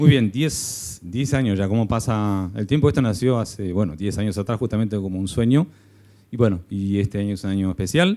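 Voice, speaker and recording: A man with an Argentine accent and a dark, mellow tone, fairly low in pitch with ordinary pitch variation, at a fairly quick pace. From Argentina. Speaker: company executive. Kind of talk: event presentation.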